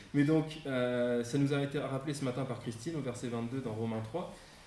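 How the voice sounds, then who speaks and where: Amid audible room echo, a man with a slight northern French accent speaks fairly slowly at a fairly high pitch, with ordinary pitch variation. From northern France near Belgium, Champagne-Ardenne. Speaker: guest preacher. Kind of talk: sermon. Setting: church service, live-streamed. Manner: hesitant, many fillers.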